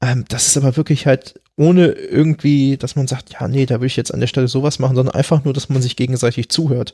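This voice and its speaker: Speaking at a very fast pace, a man with a medium-pitched voice sounds dark, mellow and somewhat breathy. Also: fairly even intonation, dry, close sound with no echo. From Germany. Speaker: podcast guest. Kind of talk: casual conversation about grief. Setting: in person at his home.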